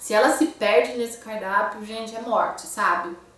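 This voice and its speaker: A woman with a fairly high pitch and ordinary pitch variation speaks in an animated tone, with audible room echo and noticeable background noise. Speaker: book reviewer. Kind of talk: casual book review vlog.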